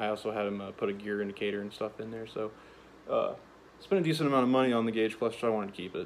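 Over light background noise, a man talks at a very fast pace with fairly even intonation. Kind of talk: casual vlog chat. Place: garage. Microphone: phone near.

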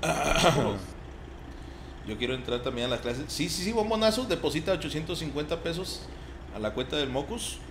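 A man with a Mexican accent speaks at a fairly high pitch with very wide pitch swings, a fairly slow pace and long, frequent pauses. Noticeable background noise and audible room echo are present. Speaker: gaming streamer. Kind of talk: casual chat. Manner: animated.

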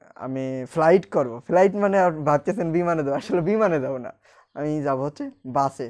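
Against a quiet background, the voice carries ordinary pitch variation. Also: man. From Bangladesh, Rajbari district; Bangladesh. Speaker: vlogger. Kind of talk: casual vlog monologue. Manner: halting. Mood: cheerful, smiling. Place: home room. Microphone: recording with a new external microphone; lapel.

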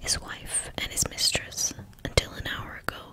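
Someone whispers in a soft-spoken way at a moderate pace, with noticeable background noise. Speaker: audiobook reader. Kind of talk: reading a novel aloud. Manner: soft whispered ASMR book reading.

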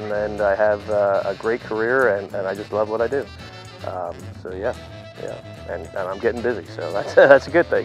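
Faint music plays in the background as a man with an American accent talks at a moderate pace. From Pennsylvania. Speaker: auctioneer. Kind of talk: interview answer. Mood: relaxed, modest, cheerful. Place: farm. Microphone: lapel.

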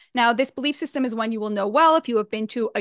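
Over a quiet background, a woman's high voice moves with lively intonation, the sound dry with no echo. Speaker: writer giving commentary. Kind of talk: political commentary. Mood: earnest, indignant. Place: home room. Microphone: studio mic.

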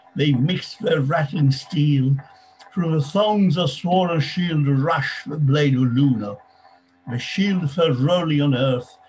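Over faint music in the background, a man speaks very slowly at a fairly high pitch with ordinary pitch variation. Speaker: reading group participant; reader presenting at a meeting. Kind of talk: reading aloud. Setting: video call. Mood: measured, declamatory. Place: home room. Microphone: webcam.

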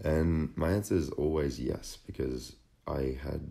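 A man with an Australian accent, a dark, mellow tone, vocal fry and ordinary pitch variation. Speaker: fitness model and vlogger. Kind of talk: personal vlog narration. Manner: casual.

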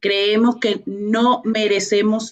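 The voice belongs to a woman. It sits at a fairly high pitch. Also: quiet background. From Venezuela. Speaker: author and business professional; guest. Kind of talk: radio interview. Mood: earnest, faith-inspired. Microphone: video call.

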